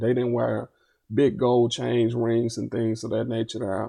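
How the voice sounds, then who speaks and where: This is a man talking. He has an Arkansas accent. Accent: US South, Arkansas. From Little Rock, Arkansas. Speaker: fair sentencing activist. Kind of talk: podcast interview.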